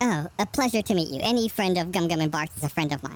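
In a put-on character voice at a middle pitch, the speech races at a very fast pace on a very clean recording with a silent background. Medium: actual play. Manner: polite, gentle, genteel.

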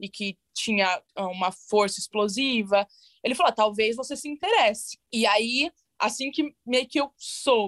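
Speaking with a normal speaking voice, a woman goes at a fairly slow pace, fairly high in pitch with ordinary pitch variation. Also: dry, close sound with no echo. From Brazil, São Paulo ABC region. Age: 20s. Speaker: bobsled athlete. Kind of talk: interview.

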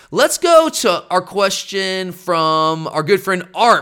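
Projecting a raised voice with very wide pitch swings, a man with an American accent speaks at a high pitch in a bright, sharp tone, recorded very cleanly over a silent background. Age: 30s. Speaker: sports podcast host. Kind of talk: casual chat. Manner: animated.

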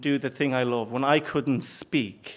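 This man has a fairly high pitch. He talks at a moderate pace. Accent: Irish. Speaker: comedian. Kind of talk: live storytelling. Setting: stage with audience.

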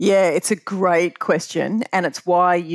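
A woman with fairly low pitch and an Australian accent, dry and close with no echo. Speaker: pension fund chief executive. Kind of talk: interview. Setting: remote call.

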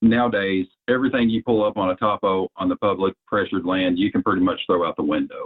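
At a fairly quick pace, a man talks with a Southern US accent and ordinary pitch variation. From Arkansas. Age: 30s. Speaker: bowhunter. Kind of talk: casual interview.

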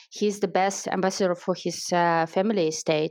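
A woman speaks with a Russian accent at a medium pitch. Her pace is moderate, and the background is quiet. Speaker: wine marketer and educator, guest interviewer. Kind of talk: interview. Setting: online audio chat room. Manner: enthusiastic.

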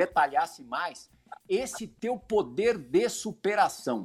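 A man speaks at a high pitch. His voice moves through very wide pitch swings. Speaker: sports TV host. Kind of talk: interview.

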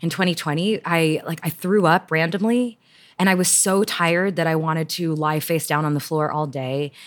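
In an American accent, a woman with a fairly low pitch and an unremarkable speaking voice talks at a moderate pace on a very clean recording with a silent background. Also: ordinary pitch variation. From Houston, Texas. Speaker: writer. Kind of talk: interview. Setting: at home.

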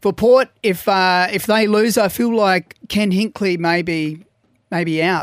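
A man's high-pitched voice at a fairly slow pace, dry and close with no echo, in a very clean recording with a silent background. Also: ordinary pitch variation. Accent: Australian. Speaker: radio show panel member. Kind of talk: casual chat. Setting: studio. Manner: laughs a lot.

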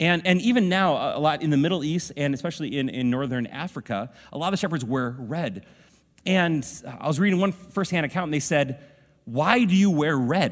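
A man with an ordinary speaking voice talks at a fairly quick pace. His pitch is fairly high and his intonation lively. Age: 40s. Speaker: pastor. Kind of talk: sermon. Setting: church.

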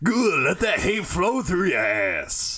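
A man uses a put-on character voice, raised and projected. He goes at a fairly slow pace over light background noise. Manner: menacing, sinister.

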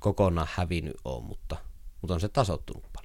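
This very clean recording with a silent background captures a man speaking fairly quickly with ordinary pitch variation. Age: 30s. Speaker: writer. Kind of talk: interview. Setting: his workroom. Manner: chatty, storytelling.

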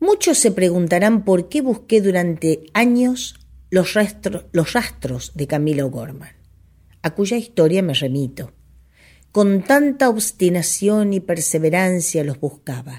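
The woman's voice is somewhat breathy at a medium pitch. Her pitch swings very widely. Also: fairly slow pace. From Argentina. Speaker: radio host and folk singer. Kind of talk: reading aloud.

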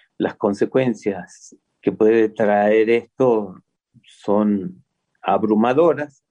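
At a very slow pace, a man speaks with fairly low pitch. His tone is dark and mellow, with ordinary pitch variation. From Córdoba, Argentina. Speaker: folk artist. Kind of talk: casual interview.

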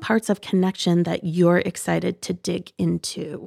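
A woman with an American accent at a fairly slow pace, in a dry, close sound with no echo. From US Midwest, Northwest Ohio. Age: 30s. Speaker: podcast co-host. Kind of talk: casual chat.

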